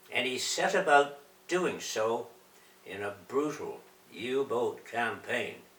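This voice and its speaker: A man's fairly high voice at a very slow pace, with ordinary pitch variation and noticeable background noise. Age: 90s. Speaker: war veteran. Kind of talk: reading aloud.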